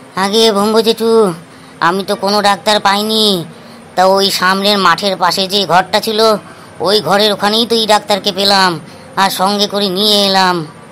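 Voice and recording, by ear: A cartoonish character voice at a middle pitch comes through over clear background noise. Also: moderate pace.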